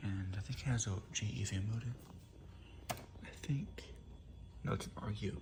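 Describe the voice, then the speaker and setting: Quiet speech comes at a moderate pace against noticeable background noise. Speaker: appliance reviewer. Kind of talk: casual product demo. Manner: hushed, quiet.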